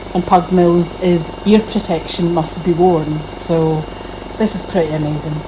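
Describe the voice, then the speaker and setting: Woman's fairly low-pitched voice with audible room echo and noticeable background noise. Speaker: potter demonstrating studio equipment. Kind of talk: tutorial. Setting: pottery studio. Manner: speaking more quietly than usual.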